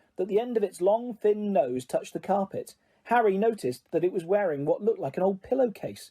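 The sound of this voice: A reading voice, unforced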